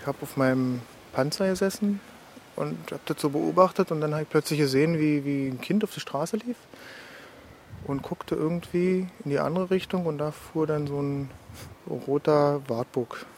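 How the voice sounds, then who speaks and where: Through noticeable background noise, a man with a fairly high pitch speaks at a moderate pace, leaving long, frequent pauses. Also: ordinary pitch variation. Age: 30s. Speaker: ex-soldier, now student. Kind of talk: testimony.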